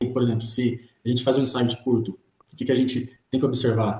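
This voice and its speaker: Speaking at a very fast pace, a man has a dark, mellow, somewhat breathy tone at a medium pitch. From Brazil, Ribeirão Preto (São Paulo state). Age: 20s. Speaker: electrical technician, student testimonial. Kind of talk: testimony.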